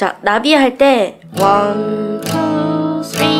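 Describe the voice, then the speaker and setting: Background music plays. A woman's pitch swings very widely. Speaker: guitar teacher. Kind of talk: tutorial instruction.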